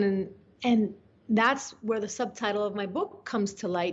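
Speaking in a Spanish accent, a woman talks at a fairly slow pace. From Venezuela (Caracas). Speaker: journalist. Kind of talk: interview. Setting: remote call. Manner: animated.

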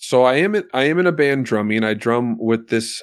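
A man with a plain, everyday voice speaks at a fairly slow pace, with ordinary pitch variation, over a quiet background. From Alaska, US. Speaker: musician and podcast host. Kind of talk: casual conversation.

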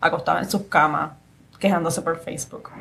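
A woman's voice, somewhat breathy, carries lively intonation. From Puerto Rico, San Juan area. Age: young. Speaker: lawyer, podcast host. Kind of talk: interview conversation.

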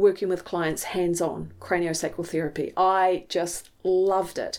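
The speaker has a New Zealand accent and a fairly slow pace. The recording is very clean, with a silent background. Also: woman. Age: 50s. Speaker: mindset coach. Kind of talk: personal monologue.

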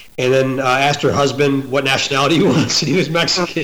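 A man talks at a very fast pace with fairly even intonation. Noticeable background noise runs under his voice. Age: 40s. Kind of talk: casual chat.

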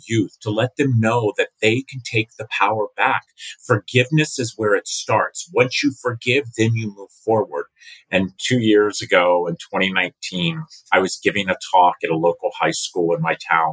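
Dry and close with no echo, a man's voice comes through as an ordinary speaking voice at medium pitch, with ordinary pitch variation and a moderate pace. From US Mid-Atlantic (Maryland, Virginia, DC). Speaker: nonprofit founder and foster care advocate. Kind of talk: podcast interview.

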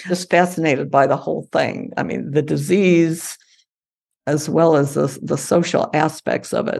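Vocal fry runs through a woman's very deep, low voice as she speaks with an American accent at a moderate pace and with ordinary pitch variation. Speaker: climate scientist and author. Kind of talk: interview.

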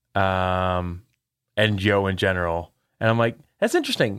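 The background is completely silent on this very clean recording. A man's delivery is animated. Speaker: game developer podcast co-host. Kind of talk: casual chat.

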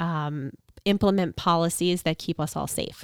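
A woman with an unremarkable speaking voice talks at a fairly low pitch and moderate pace with fairly even intonation, the sound dry and close with no echo on a very clean recording with a silent background. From Long Island, New York. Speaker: congressional candidate. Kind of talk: interview. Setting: home podcast studio.

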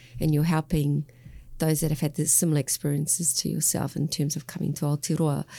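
In an Australian accent, a woman speaks very fast with a very deep, low pitch, a dark, mellow tone and a somewhat breathy quality. Her intonation is flat and monotone, her loudness very even, and the recording very clean with a silent background. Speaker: podcast host. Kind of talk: podcast interview.

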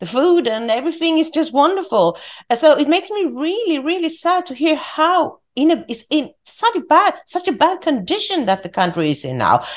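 A woman with a Swedish accent talks at a moderate pace with hardly any pauses, her pitch extremely high. Her pitch swings very widely over a quiet background. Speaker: podcast host. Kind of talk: interview. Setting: remote call.

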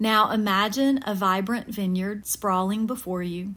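At a fairly slow pace, a woman with a medium pitch speaks in a gentle, somewhat breathy tone with fairly even intonation. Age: middle-aged. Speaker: podcast host. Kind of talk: guided meditation. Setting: studio. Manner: soothing, calm; slow, gentle pacing.

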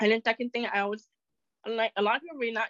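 Recorded dry and close with no echo, a woman speaks in a fairly bright tone.

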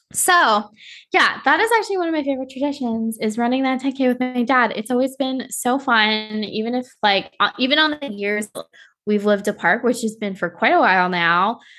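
Over a quiet background, a woman talks at a fairly quick pace, her fairly high pitch carrying a bright, sharp tone and lively intonation. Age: 20s. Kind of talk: casual chat.

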